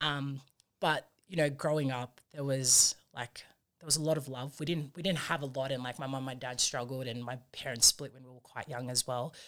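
With an Australian accent, a woman speaks at a very deep, low pitch and a moderate pace, her intonation fairly even and her loudness swinging widely, on a very clean recording with a silent background. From Sydney, Australia (Fijian family). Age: 20s. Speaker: rugby union player. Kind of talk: interview. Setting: studio.

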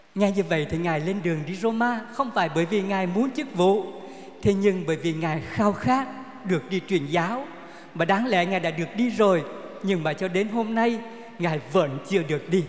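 A man with a high pitch and ordinary pitch variation talks at a moderate pace, with audible room echo and noticeable background noise. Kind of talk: sermon. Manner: formal.

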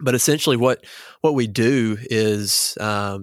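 A man with a fairly low pitch speaks in a Southern US accent, the sound dry and close with no echo, on a very clean recording with a silent background. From small-town Arkansas. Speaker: student pastor. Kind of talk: casual chat.

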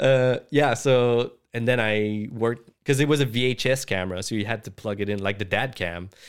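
A plain, everyday voice, a man's at medium pitch, with ordinary pitch variation and a moderate pace in a very clean recording over a silent background. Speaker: VFX artist and director. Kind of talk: casual chat.

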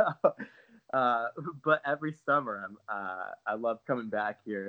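The intonation stays fairly even as a man talks in a plain, everyday voice. He is pitched in the medium range. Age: 30s. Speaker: van lifer and climber. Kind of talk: interview.

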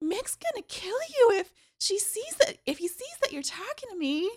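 Using a squeaky, put-on character voice at an extremely high pitch, a woman speaks at a fairly slow pace.

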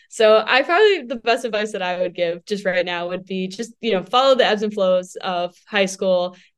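At a moderate pace with hardly any pauses, a woman speaks in an unremarkable speaking voice at a medium pitch with ordinary pitch variation. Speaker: college student, sports broadcaster. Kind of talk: casual interview chat.

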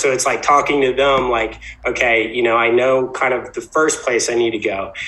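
Against noticeable background noise, a man with an American accent speaks at a moderate pace with a medium pitch. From Virginia Beach, US. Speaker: entrepreneur, toothpaste brand founder. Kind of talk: casual interview.

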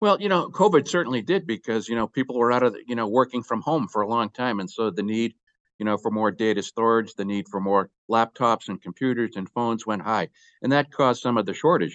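In a normal speaking voice, a man with an American accent talks at a medium pitch with ordinary pitch variation. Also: fairly quick pace. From Boston, US Northeast. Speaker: company executive. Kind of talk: interview.

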